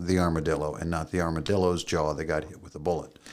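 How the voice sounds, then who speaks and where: Speaking at a fairly quick pace, a man with an American accent has a very deep, low pitch. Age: 60s. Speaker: podcast co-host. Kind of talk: casual chat. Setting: studio.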